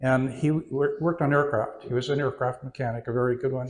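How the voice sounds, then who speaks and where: A somewhat breathy man with an American accent at a medium pitch, on a very clean recording with a silent background. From California and Oregon, US West Coast. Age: 80s+. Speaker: retiree telling his life story. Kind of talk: interview before an audience. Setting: audience in a community venue. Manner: halting, many fillers.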